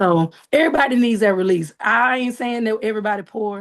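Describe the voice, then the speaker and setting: With a Southern US accent, a woman talks in an animated tone at a medium pitch, her pitch varying an ordinary amount. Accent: sounds country, Southern. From Arkansas, US South. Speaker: Southern soul singer. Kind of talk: interview.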